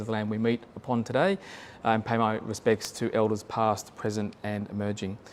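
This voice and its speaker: Fairly quick speech with an Australian accent. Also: man. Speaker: government planning official presenting to community council. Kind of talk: presentation. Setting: public meeting room with online audience, no microphone. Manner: halting, many fillers. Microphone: no microphone in room.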